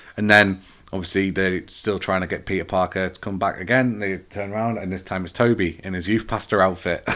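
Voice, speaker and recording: A man with an English accent speaks at a very deep, low pitch in a monotone, flat intonation. He goes at a fairly quick pace with hardly any pauses, on a very clean recording with a silent background. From England. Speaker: podcast host. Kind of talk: solo movie review. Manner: casual, hesitant with fillers.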